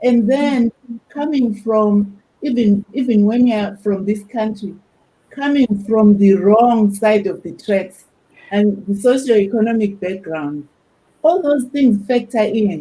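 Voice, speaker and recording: A woman with an African accent speaks at a very slow pace, her pitch fairly high with ordinary variation. Her tone is dark and mellow and somewhat breathy. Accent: African accent, noticeable. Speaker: academic panelist. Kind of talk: panel discussion.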